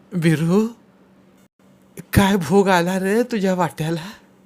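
A man's put-on character voice, shaky and high-pitched, with fairly even intonation at a very slow pace.

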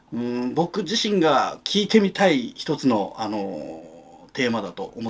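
A man's voice moves through very wide pitch swings. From Japan. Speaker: novelist. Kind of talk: interview monologue. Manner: halting, many fillers. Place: home room.

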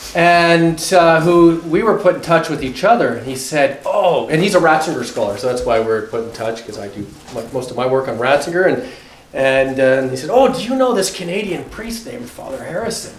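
A man talks at a fairly quick pace. There is audible room echo and light background noise. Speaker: guest. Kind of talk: formal introduction speech. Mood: warm, lightly humorous. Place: classroom. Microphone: camera far.

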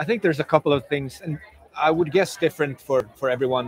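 In a Swedish accent, a man speaks at a fairly high pitch with ordinary pitch variation. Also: dry sound with no echo. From Sweden. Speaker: pro mountain biker; guest. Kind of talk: casual chat. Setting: live at a bike event. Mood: relaxed, reflective. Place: street. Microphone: lapel.

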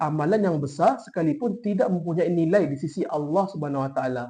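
A dark, mellow tone with lively intonation, a fairly quick pace and hardly any pauses. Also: man. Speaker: university student. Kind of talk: class presentation. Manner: formal.

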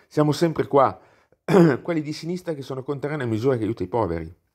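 A speaker with a non-native accent talks at a very fast pace in an animated tone with lively intonation. The recording is very clean, with a silent background. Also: man. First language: not Italian (speaking Italian). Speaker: YouTuber, political commentator. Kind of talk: video monologue, political commentary.

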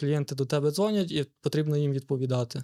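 A man's ordinary speaking voice, fairly quick and fairly even in intonation, with a dry, close sound and no echo. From Lviv Oblast, western Ukraine. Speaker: entrepreneur. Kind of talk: interview.

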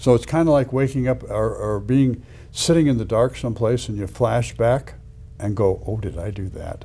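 A man's moderate-paced speech with ordinary pitch variation and music in the background. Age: 70s. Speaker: cardiac surgeon and weight-loss physician. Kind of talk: interview conversation. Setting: in-person interview. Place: office. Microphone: lapel.

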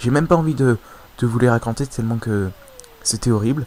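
This man's medium-pitched voice comes through with noticeable background noise. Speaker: video game YouTuber. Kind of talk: casual gaming commentary. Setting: home recording, voiceover on gameplay. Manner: hesitant, filler words, casual.

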